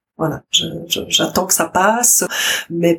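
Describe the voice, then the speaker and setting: Speaking at a very slow pace, a woman has a fairly low pitch. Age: 60s. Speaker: grandmother, daycare office worker. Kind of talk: testimony.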